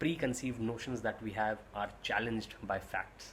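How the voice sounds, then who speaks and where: A man's medium-pitched voice with an Indian accent at a fairly slow pace, over noticeable background noise. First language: Hindi. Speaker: YouTube reviewer and vlogger. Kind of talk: casual watch-along review.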